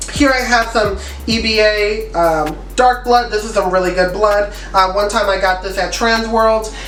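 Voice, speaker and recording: Over noticeable background noise and audible room echo, a woman talks at a moderate pace with fairly high pitch and fairly even intonation. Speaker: freelance makeup artist. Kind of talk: tutorial.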